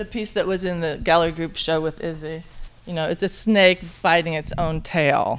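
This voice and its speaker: A woman with an American accent speaks at a moderate pace with fairly even intonation in a plain, everyday voice, on a very clean recording with a silent background. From northern Indiana, US Midwest. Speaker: printmaker. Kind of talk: interview.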